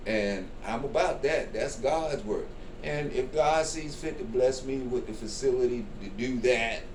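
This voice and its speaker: The speech moves at a fairly slow pace with ordinary pitch variation. Audible room echo and noticeable background noise are present. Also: man, medium pitch for a man. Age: 60s. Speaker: comedian. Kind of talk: interview.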